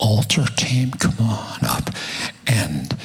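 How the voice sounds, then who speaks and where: Noticeable background noise accompanies a man with an American accent whose voice is medium in pitch. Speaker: preacher. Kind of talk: sermon. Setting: church with live audience, microphone. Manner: animated, humorous.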